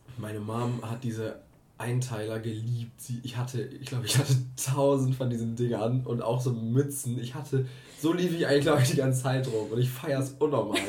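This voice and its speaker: A dark, mellow, somewhat breathy voice moves at a fairly quick pace with fairly even intonation. Audible room echo surrounds it. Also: man, medium pitch for a man. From Germany, Herford (East Westphalia). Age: 20s. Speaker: podcast co-host. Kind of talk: casual chat.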